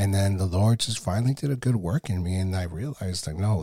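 Very deep and low, a man's somewhat breathy voice has a dark, mellow tone, ordinary pitch variation and a fairly quick pace. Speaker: faith podcast host. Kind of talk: devotional podcast monologue. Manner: casual.

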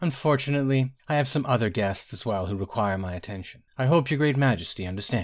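Lively intonation in a natural voice reading aloud

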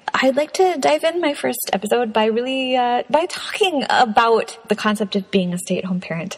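A woman talks at a moderate pace, her pitch swinging very widely. Noticeable background noise runs underneath. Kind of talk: casual monologue. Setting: home recording in a closet. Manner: animated.

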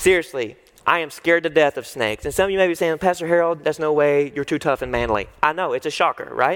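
A man with a fairly high voice, a very fast pace and ordinary pitch variation. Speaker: student pastor preaching. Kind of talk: sermon. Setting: church service with live audience. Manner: animated.

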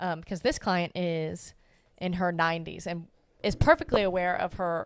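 A normal speaking voice with fairly even intonation comes through on a very clean recording with a silent background. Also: woman. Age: 20s. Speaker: dog trainer, podcast co-host. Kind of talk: casual chat.

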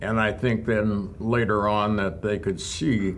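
This man has a fairly low pitch and an American accent. Audible room echo surrounds his voice. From southwestern Minnesota, rural. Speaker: retired hospital executive. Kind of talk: interview reminiscence.

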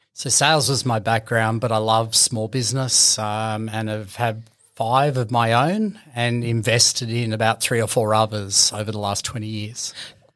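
Speaking with an Australian accent, the voice runs on with hardly any pauses in a monotone, flat intonation. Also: man, medium pitch for a man, moderate pace. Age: 40s. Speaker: business owner. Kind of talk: interview. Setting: studio.

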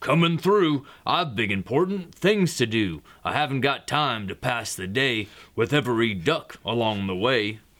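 In a put-on character voice, a man speaks in a sing-song way at a medium pitch. His pace is moderate. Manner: brusque, sing-song.

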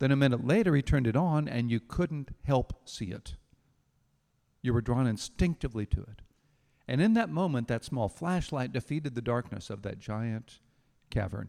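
This man speaks at a moderate pace with a dark, mellow tone and long, frequent pauses. The sound is dry and close, with no echo. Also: medium pitch for a man, lively intonation, very clean recording, silent background. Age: 60s. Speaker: pastor. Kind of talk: sermon.

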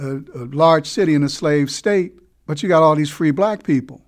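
Against a quiet background, a man with an ordinary speaking voice and fairly high pitch talks at a moderate pace with ordinary pitch variation. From US Northeast, Newark, New Jersey. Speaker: education historian and teacher. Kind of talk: interview.

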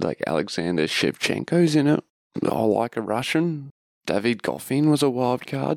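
A man with a medium pitch talks at a moderate pace, his voice swinging very widely in pitch, in a dry, close sound with no echo. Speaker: tennis podcast host. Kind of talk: casual solo monologue. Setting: at home in bed. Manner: subdued, low-energy; quiet, not wanting to be loud.

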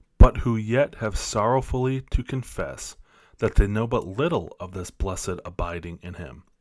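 A man with an ordinary speaking voice talks at medium pitch and a moderate pace on a very clean recording with a silent background. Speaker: missionary podcaster and Bible teacher. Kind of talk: reading aloud from a devotional book. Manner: earnest, measured, prayerful.

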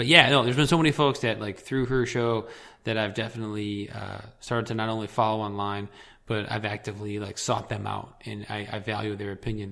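A man with a Midwestern American accent talks at a fairly quick pace. His voice is fairly low in pitch, bright and sharp in tone, with fairly even intonation. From Michigan, southeast near Detroit. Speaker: podcast guest, political radio listener. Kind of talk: casual chat.

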